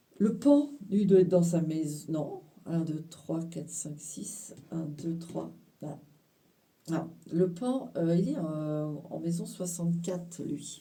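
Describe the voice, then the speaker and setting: Speaking at a very slow pace in a room with audible echo, a woman with a fairly low pitch, a dark, mellow tone and a somewhat breathy quality shows ordinary pitch variation and big swings in loudness. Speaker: tarot card reader. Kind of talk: card reading interpretation. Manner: animated, talkative.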